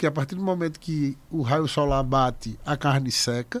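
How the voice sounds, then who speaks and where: On a very clean recording with a silent background, a man with a fairly high pitch speaks at a fairly slow pace with ordinary pitch variation. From Paraíba, Brazil (Picuí), raised partly in Recife. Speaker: restaurateur. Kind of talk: casual interview chat.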